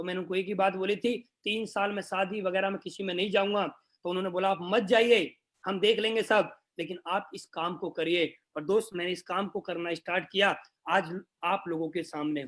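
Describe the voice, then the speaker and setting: This man's voice is high-pitched. He talks at a moderate pace. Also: fairly even intonation. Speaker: network marketing leader. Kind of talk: motivational speech.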